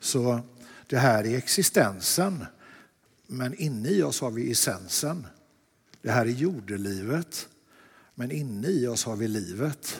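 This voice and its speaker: A man at a medium pitch, with very wide pitch swings and long, frequent pauses. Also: fairly slow pace. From Sweden, Lerum near Gothenburg. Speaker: artist. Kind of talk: dialogue sermon in church.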